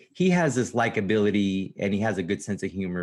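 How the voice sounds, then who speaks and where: A normal speaking voice from a man with an American accent, fairly low in pitch, with ordinary pitch variation and a moderate pace. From New York. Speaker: comedian. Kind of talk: casual chat.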